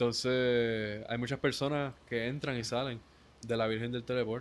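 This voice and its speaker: Speaking at a fairly slow pace, a man with a Puerto Rican accent uses a medium pitch. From Puerto Rico, Ponce. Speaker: musician. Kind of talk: casual interview chat.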